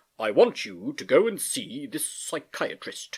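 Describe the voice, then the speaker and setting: A man in a put-on character voice, high in pitch, at a fairly slow pace. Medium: read story. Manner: cheery, patronizing.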